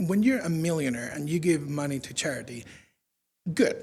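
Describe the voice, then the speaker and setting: Lively in intonation and high-pitched for a man, he talks at a fairly quick pace with a Spanish accent and a dark, mellow tone, with room echo audible. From Spain. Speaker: UN communications officer. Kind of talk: public lecture.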